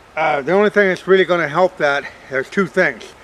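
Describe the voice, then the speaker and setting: Noticeable background noise sits behind a man with a high pitch. He talks at a moderate pace with ordinary pitch variation. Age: 60s. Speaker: farmer and hunting channel host. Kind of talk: outdoor tutorial. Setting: outdoors in a field. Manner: casual, halting with fillers.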